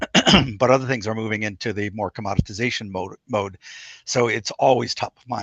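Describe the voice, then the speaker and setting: A man's put-on character voice, hoarse and raspy, medium in pitch, with fairly even intonation at a fairly quick pace and a dry, close sound with no echo. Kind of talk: professional talk.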